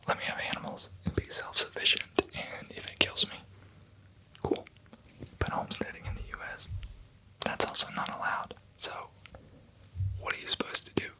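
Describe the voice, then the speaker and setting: The speaker whispers at a fairly quick pace, with long, frequent pauses. Noticeable background noise runs throughout. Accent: American. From American, lives in Denmark. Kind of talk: ASMR whispered rambling. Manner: whispered, soft-spoken.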